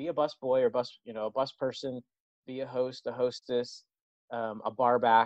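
A man with an unremarkable speaking voice at a medium pitch and moderate pace, recorded with a dry, close sound with no echo against a quiet background. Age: 40s. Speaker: hospitality management professor. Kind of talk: casual interview.

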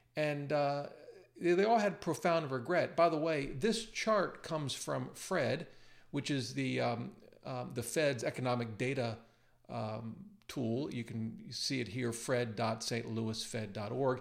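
With vocal fry and lively intonation, a man at medium pitch speaks at a fairly slow pace. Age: 50s. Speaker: personal finance YouTuber and author. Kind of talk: screen-share tutorial. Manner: casual with frequent fillers and repetitions.

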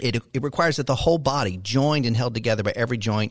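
Against a quiet background, a man speaks in a plain, everyday voice at medium pitch, with ordinary pitch variation and a fairly quick pace. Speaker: radio host and pastor. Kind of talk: radio interview. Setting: radio studio.

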